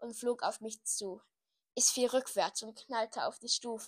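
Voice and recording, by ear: Reading aloud in a natural voice, with fairly even intonation and a quiet background.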